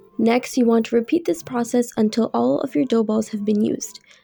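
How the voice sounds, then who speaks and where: Over music in the background, a woman speaks at a moderate pace with lively intonation. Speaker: cooking channel host. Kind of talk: recipe tutorial voiceover.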